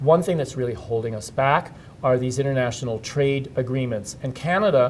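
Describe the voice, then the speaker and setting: At a fairly quick pace, a man talks in a medium pitch with a somewhat breathy voice. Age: 60s. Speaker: HIV activist and presenter. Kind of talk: interview. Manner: hesitant, with fillers.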